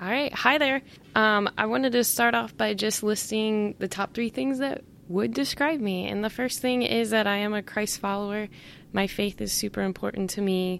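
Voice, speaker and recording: On a very clean recording with a silent background, a normal speaking voice proceeds at a moderate pace, its pitch varying in an ordinary way. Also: woman, medium pitch for a woman. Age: 30s. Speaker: podcast co-host, PE teacher. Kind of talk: casual chat.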